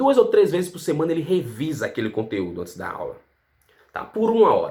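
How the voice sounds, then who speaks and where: A man talking at a fairly quick pace. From Brazil. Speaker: English teacher. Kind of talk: casual educational vlog.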